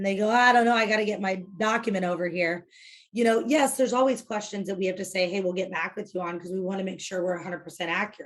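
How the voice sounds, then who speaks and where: In an American accent, a woman speaks at a medium pitch with ordinary pitch variation. The background is quiet. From US Midwest, Illinois south of Chicago. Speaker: real estate team leader. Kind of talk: interview. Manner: fast; direct.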